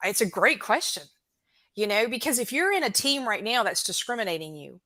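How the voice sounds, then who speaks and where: A woman's bright, sharp voice with an American accent and very wide pitch swings, in a very clean recording with a silent background. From US South. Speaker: recruitment expert. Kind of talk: casual chat.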